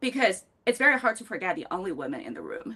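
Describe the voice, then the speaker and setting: Speaking with a Chinese accent, a woman has a fairly high pitch. Her pace is fairly quick and her pitch swings are very wide. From China, Beijing. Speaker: fintech professional, panelist. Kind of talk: panel discussion.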